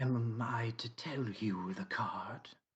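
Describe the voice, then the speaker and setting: A low, growling put-on character voice. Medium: actual play. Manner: formal, clipped, literal.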